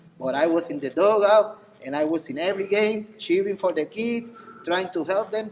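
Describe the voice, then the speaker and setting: With a Spanish accent, a man talks at a moderate pace. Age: 40s. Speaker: assistant coach. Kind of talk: banquet speech.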